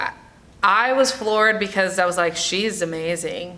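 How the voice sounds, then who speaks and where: Using an ordinary speaking voice with an American accent, a woman speaks at a fairly slow pace with ordinary pitch variation. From New York, the Bronx. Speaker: actress and singer. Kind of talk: interview.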